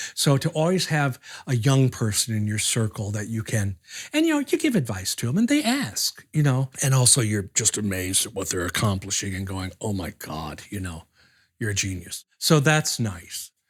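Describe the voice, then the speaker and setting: The background is silent and the recording very clean. This man's voice is somewhat breathy. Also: medium pitch for a man, moderate pace. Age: 60s. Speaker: puppeteer. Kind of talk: documentary interview.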